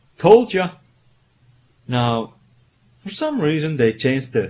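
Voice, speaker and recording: A somewhat breathy man with a non-native accent, fairly slow, with very wide pitch swings. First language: not English. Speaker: retro game reviewer. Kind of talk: comedic video game review narration. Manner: animated.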